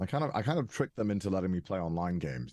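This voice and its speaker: A man speaks with a Welsh accent in a dark, mellow tone. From Wales. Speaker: content creator and narrator. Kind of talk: interview. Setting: podcast. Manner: hesitant, many fillers.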